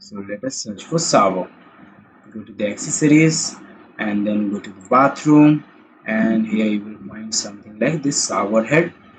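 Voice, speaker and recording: Noticeable background noise sits behind a man's voice. He has a fairly low pitch and lively intonation. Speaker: software tutorial presenter. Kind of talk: tutorial. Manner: halting; slow.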